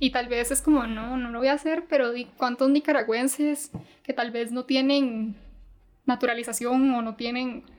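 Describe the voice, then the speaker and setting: Her high pitch stays monotone and flat as this woman talks at a moderate pace. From Costa Rica. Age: 20s. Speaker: university student and Mandarin tutor. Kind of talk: casual interview.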